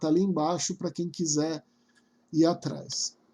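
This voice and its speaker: A man with a high pitch and a dark, mellow tone, at a very slow pace in a monotone, flat intonation. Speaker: spiritual course teacher. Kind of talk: lecture.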